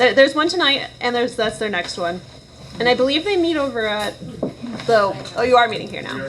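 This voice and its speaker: A woman speaks at a high pitch and a fairly quick pace, with lively intonation, big swings in loudness, and long, frequent pauses. Noticeable background noise runs underneath. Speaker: planning commission chair. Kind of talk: public meeting.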